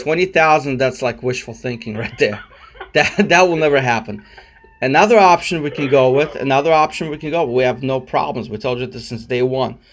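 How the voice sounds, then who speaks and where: Someone speaks at a fairly quick pace with ordinary pitch variation, with noticeable background noise behind them. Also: man, medium pitch for a man. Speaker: personal injury lawyer. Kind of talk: phone negotiation. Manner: calm, annoyed.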